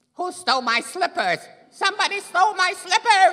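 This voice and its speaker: An extremely high-pitched, put-on character voice at a moderate pace. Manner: indignant, complaining.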